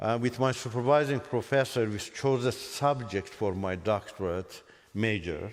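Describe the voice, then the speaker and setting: Speaking with an Azerbaijani accent, a man keeps a moderate pace and medium pitch with ordinary pitch variation. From Iran. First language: Azerbaijani Turkic. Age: 60s. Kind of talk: testimony. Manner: halting.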